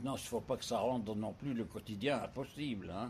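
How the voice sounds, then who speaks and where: Here is a man with a medium-pitched voice. It sounds somewhat breathy. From Paris, France. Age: 90s. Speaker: retirement home resident, widower. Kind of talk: interview, life story. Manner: hesitant, frequent fillers and repetitions.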